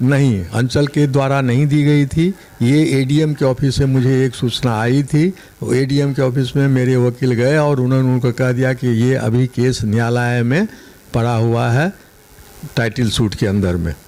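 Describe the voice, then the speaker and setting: A man's medium-pitched voice at very even loudness, with noticeable background noise. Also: ordinary pitch variation. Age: 70s. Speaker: retired land owner, complainant. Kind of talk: news interview.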